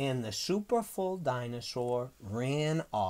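The speaker reads in a natural reading voice.

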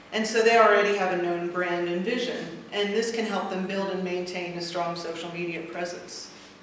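At a fairly quick pace, a woman with an American accent speaks in a medium pitch and fairly bright tone with fairly even intonation, amid strong room echo.

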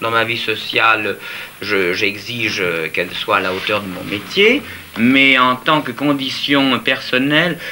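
Against light background noise, a man speaks very slowly with lively intonation. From Italy. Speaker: fashion designer. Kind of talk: interview answer. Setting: archive TV interview at home. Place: home room.

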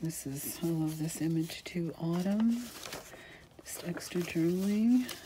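Noticeable background noise behind a woman speaking at a fairly slow pace, her pitch fairly low with ordinary variation. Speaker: craft channel host selling journals. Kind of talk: casual video flip-through narration. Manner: chatty, casual, laughs often.

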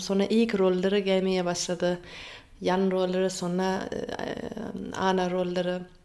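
A woman with a German accent speaks at a fairly slow pace and a medium pitch. Her intonation is monotone and flat, broken by long, frequent pauses. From Germany. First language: German (speaking Turkish). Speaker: actress; actress being interviewed. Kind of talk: interview. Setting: radio interview in Istanbul. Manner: halting, with many fillers. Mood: cheerful, smiling. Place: home room. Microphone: phone near.

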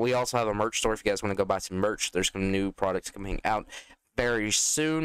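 With a plain, everyday voice, a man talks at a fairly quick pace and ordinary pitch variation in a dry, close sound with no echo. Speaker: gaming youtuber. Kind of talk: gameplay commentary. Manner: casual, rambling.

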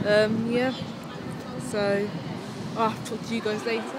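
Over clear background noise, a woman speaks at a fairly slow pace with a fairly high pitch and little pitch movement.

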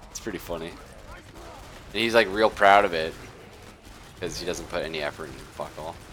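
Despite long, frequent pauses, a man with a very deep, low pitch talks at a fairly quick pace over noticeable background noise. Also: ordinary pitch variation. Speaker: gaming streamer. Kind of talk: casual gaming chat. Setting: live stream with online voice chat. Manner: rambling, lots of filler words.

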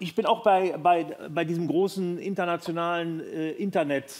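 The speaker is a man with a high-pitched voice. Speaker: comedian talk show guest. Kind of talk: interview answer, comedic storytelling. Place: studio. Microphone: headset.

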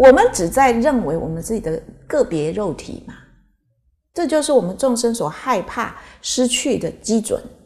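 A woman's fairly high voice with vocal fry, very wide pitch swings and big swings in loudness, at a moderate pace against a quiet background. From Taiwan. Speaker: Buddhist teacher. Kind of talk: Dharma lecture with anecdotes. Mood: calm, earnest teaching tone. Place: hall. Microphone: podium.

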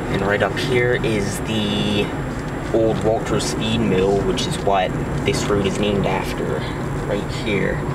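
A man speaking at a very slow pace, his voice dry with no echo, under loud background noise. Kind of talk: casual vlog chat. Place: car. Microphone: phone near.

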